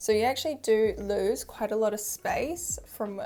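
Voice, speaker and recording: At a moderate pace, the speaker talks with a New Zealand accent in a very clean recording with a silent background. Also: woman. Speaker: fashion YouTuber. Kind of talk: product review vlog. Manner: casual, chatty.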